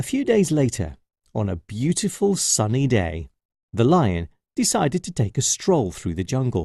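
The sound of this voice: The background is quiet. This is an unforced reading voice.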